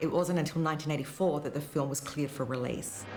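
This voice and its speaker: In an Australian accent, a woman talks very fast in a very deep, low voice. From Australia, outer suburbs of Melbourne. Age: 50s. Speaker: film critic. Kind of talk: documentary interview.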